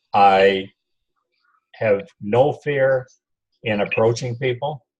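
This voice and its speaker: This is a man's voice at a medium pitch. It sounds somewhat breathy. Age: 70s. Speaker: network marketing distributor. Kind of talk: casual interview.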